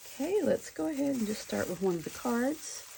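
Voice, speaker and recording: This woman's intonation is lively. Noticeable background noise sits behind her. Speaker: crafting video creator. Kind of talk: crafting tutorial. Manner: animated.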